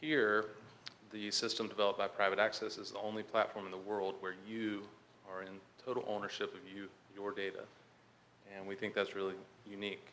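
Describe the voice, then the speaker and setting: In a Southern US accent with monotone, flat intonation, the speaker talks at a fairly quick pace with long, frequent pauses and big swings in loudness, amid audible room echo. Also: man, fairly low pitch for a man. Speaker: conference speaker, health IT manager. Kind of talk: conference presentation. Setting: conference hall with audience. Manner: hesitant, many fillers.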